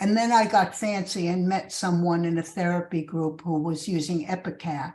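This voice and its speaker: A woman with a New York accent speaks at a fairly slow pace in a somewhat breathy voice. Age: 70s. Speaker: recovery fellowship speaker. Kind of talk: testimony.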